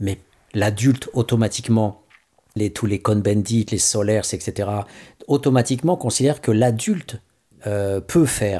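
Somewhat breathy, a man speaks at a fairly low pitch in a dark, mellow tone. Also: very clean recording, silent background. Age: 50s. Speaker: radio host. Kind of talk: radio commentary. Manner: halting.

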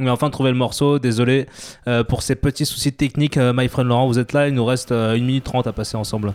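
Speaking very fast in a flat monotone, a man at medium pitch keeps his loudness very even, with a dry, close sound and no echo. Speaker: radio show co-host. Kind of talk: casual radio chat. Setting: radio studio. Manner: put-on southern accent for chef bit.

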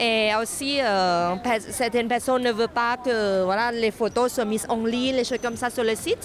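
A woman with a non-native accent speaks at a fairly high pitch in a monotone, flat intonation. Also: moderate pace. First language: not French (speaking French). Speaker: sex workers' rights activist. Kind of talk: street interview.

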